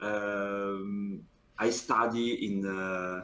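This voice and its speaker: In an Italian accent, a man speaks. His pitch is fairly low. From Italy. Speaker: professional card game player. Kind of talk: interview. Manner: halting.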